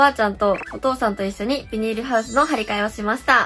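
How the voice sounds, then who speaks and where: A woman at a very fast pace, her intonation fairly even, with faint music in the background. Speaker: beginner farmer. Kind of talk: casual talk to camera. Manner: slightly nervous. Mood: a little nervous, cheerful. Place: home room. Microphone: phone near.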